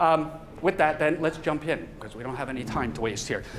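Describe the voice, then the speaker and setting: A man talks at a very fast pace with a fairly high pitch. Noticeable background noise runs through the clip. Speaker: professor. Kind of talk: lecture. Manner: casual.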